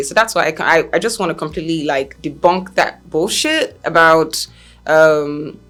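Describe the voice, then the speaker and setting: A woman's fairly low-pitched, animated voice over background music. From Nigeria. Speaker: talk show host. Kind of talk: opinion commentary.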